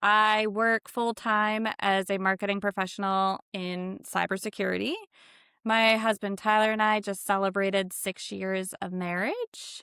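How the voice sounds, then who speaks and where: A woman's bright, sharp tone at medium pitch, monotone and flat, at a fairly slow pace, dry and close with no echo in a very clean recording with a silent background. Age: 30s. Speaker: podcast host. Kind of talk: casual chat.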